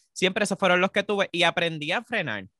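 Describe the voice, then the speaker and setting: A man is speaking. He has a Puerto Rican accent. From Puerto Rico. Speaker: podcast co-host. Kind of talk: casual chat. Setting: remote recording.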